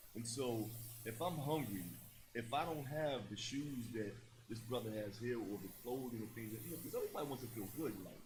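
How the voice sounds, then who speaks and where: Somewhat breathy, a man talks at a moderate pace with lively intonation. Audible room echo surrounds his voice. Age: 60s. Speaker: former prisoner turned youth mentor. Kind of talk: panel discussion. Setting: stage with audience.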